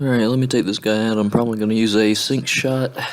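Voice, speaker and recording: Soft-spoken and monotone, a man rushes along at a very fast pace in a fairly low pitch with flat intonation. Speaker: gaming video creator. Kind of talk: let's play commentary. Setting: home recording. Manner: quiet.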